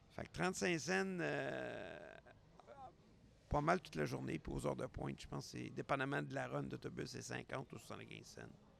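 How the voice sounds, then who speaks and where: With a Quebec accent, a man talks at a moderate pace. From Quebec, Montreal. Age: 60s. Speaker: podcast host. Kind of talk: casual solo podcast monologue. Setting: airport.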